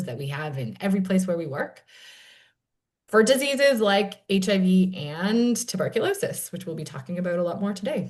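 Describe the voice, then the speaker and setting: Her pitch sits in the middle for a woman, and she talks at a moderate pace in a somewhat breathy voice. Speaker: panel moderator, nonprofit program director. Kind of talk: panel discussion introduction.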